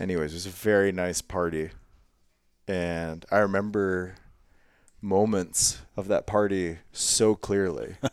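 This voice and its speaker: In an American accent, a man with very deep, low pitch talks at a fairly slow pace in monotone, flat intonation, with long, frequent pauses. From Ohio, US Midwest. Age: 30s. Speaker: podcast host, hunter. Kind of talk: casual interview chat.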